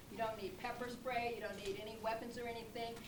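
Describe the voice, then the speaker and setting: A woman's fairly high voice at a fairly quick pace, with audible room echo and noticeable background noise. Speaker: safety trainer. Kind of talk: presentation to an audience. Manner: fast.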